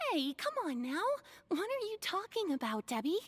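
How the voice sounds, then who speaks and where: A squeaky put-on character voice with extremely high pitch and very wide pitch swings moves at a moderate pace. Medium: video game.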